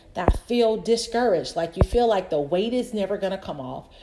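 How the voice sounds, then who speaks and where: A woman speaks at a fairly quick pace with lively intonation and medium pitch in a plain, everyday voice. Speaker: podcast host and personal trainer. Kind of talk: solo podcast monologue. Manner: casual, talkative.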